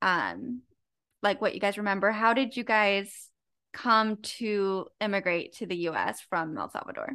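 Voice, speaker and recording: In an ordinary speaking voice, a woman with a medium pitch and ordinary pitch variation talks at a fairly slow pace against a quiet background. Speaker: podcast co-host. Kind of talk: casual chat.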